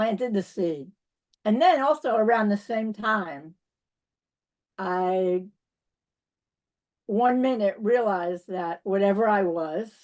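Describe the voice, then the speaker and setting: A woman speaks in a strong New York accent at a medium pitch, with ordinary pitch variation. Her pace is very slow, with long, frequent pauses. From New York City. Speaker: spiritual teacher. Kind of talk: interview.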